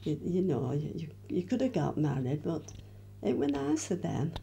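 A woman's very deep, low voice with a dark, mellow tone and vocal fry, at a moderate pace, over light background noise. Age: 80s+. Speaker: interviewee recalling her youth. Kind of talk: interview answer. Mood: cheerful, reminiscing, laughing. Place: home room. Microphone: handheld.

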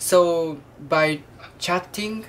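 A woman with a Japanese accent speaks with ordinary pitch variation over light background noise. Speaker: vlogger, student. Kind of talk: casual video diary. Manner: halting, hesitant with many fillers. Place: home room. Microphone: webcam.

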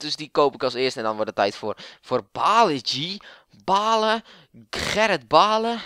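A man's pitch swings very widely as he speaks. The recording is very clean, with a silent background. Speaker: FIFA gamer and YouTuber. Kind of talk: casual gaming commentary. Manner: animated, rambling, informal.

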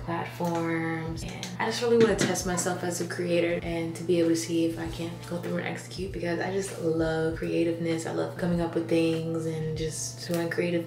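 There is noticeable background noise as a woman with a fairly low pitch talks at a moderate pace with ordinary pitch variation. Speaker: content creator. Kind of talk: casual vlog chat. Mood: excited, upbeat. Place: bathroom. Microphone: phone near.

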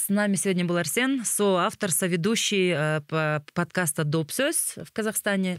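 Against a quiet background with a dry, echo-free sound, a woman talks at a moderate pace with ordinary pitch variation. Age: 30s. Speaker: podcast host. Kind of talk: casual interview conversation; scripted show outro. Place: tent. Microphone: studio mic.

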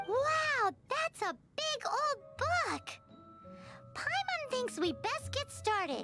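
A woman's put-on character voice, extremely high and very slow, over loud music in the background. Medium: fan dub. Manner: excitable, cheeky.

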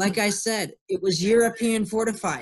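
The man delivers his words at a moderate pace. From Ohio. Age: 20s. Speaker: army officer giving a fort tour talk. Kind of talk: webinar presentation. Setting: video call. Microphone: video call.

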